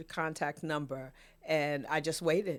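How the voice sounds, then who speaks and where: A very clean recording with a silent background holds speech delivered at a moderate pace. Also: woman. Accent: New York. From New York City (Queens). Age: 60s. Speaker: podcast guest, photographer and author. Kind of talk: casual interview chat. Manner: emotional, halting with repetitions.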